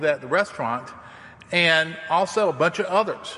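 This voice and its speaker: With a Southern US accent, a man talks using lively intonation. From US South. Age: 60s. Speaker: campus minister to international students. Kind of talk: sermon. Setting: church. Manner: informal, storytelling.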